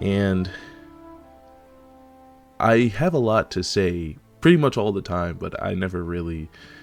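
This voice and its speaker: A man at a fairly slow pace, ordinary pitch variation, music in the background. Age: young. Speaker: anime and gaming content creator. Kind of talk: casual political rant to camera.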